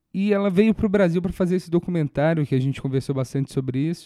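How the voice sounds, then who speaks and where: The voice has a dark, mellow tone and ordinary pitch variation. It moves at a very fast pace. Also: man. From Brazil, Minas Gerais. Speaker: podcast host and stand-up comedian. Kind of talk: casual interview chat.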